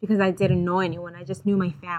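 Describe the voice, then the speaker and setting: She is a woman with a Haitian accent and a bright, sharp tone. Her pitch varies in an ordinary way. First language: Haitian Creole. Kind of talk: testimony.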